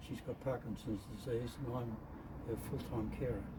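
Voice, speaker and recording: There is audible room echo and noticeable background noise. Through it, a man speaks with an Australian accent. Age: 80s+. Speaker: classic car owner. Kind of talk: interview. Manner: halting.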